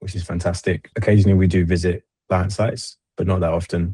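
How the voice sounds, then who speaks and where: Against a quiet background, a man with a very deep, low pitch and a dark, mellow tone speaks at a very fast pace, somewhat breathy and in a monotone, flat intonation, the sound dry and close with no echo. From London, England. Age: 30s. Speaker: army veteran turned cybersecurity consultant. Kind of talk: interview.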